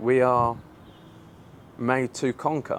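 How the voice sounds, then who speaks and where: A medium-pitched man with an English accent. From England. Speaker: online business influencer. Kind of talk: casual vlog rant. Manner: animated.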